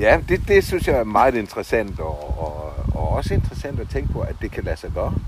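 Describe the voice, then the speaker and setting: Noticeable background noise runs under this recording. A man speaks at a fairly quick pace. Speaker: podcast host. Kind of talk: interview. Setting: outdoors in a garden. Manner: halting, many fillers.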